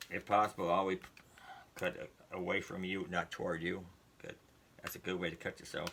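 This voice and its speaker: The speech moves at a fairly quick pace, broken by long, frequent pauses. Its intonation is monotone and flat. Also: man, very deep, low pitch for a man. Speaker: YouTuber doing product unboxing. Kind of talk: casual unboxing video. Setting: indoors at home. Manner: fast.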